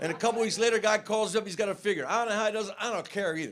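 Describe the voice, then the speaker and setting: Amid noticeable background noise, a man with a high pitch talks at a very fast pace. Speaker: stand-up comedian. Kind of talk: stand-up.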